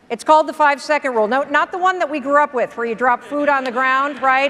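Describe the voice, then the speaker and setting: Energetic in tone, a woman with an American accent talks at a high pitch against noticeable background noise. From US Midwest. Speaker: motivational speaker. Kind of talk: keynote speech. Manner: energetic, no-nonsense.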